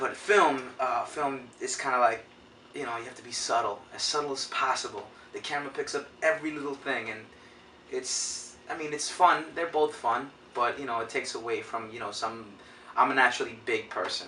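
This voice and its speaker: Over noticeable background noise, a man talks at a moderate pace. His loudness swings widely. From New York City, East Harlem, Puerto Rican family. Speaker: actor. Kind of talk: interview.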